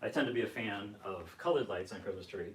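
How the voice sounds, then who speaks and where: A man's voice over noticeable background noise. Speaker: YouTuber. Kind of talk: casual chat. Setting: livestream at home.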